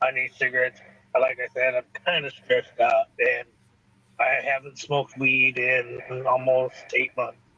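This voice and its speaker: At a moderate pace, this man talks while noticeable background noise continues. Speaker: livestream host, coin seller. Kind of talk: casual chat. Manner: halting; soft-spoken. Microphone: Bluetooth headset cutting in and out.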